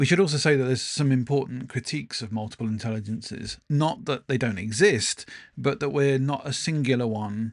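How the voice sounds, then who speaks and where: A man talks at a fairly quick clip with hardly any pauses, his pitch medium and its variation ordinary. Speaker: podcast co-host, former teacher. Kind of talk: casual chat. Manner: varied cadence, pace changes; hesitant, many fillers.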